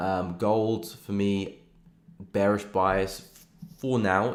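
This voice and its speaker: Spoken with a British accent, the voice keeps a fairly even intonation while some room echo can be heard. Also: man. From England, London. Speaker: forex trader and live streamer. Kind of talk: live stream chart analysis. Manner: casual, relaxed.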